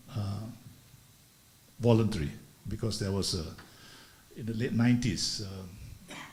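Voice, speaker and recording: A man's fairly low, somewhat breathy voice at a fairly slow pace, with long, frequent pauses, ordinary pitch variation and audible room echo. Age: 70s. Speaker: retired business executive, speaker. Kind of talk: talk at a leadership conference. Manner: halting, many fillers.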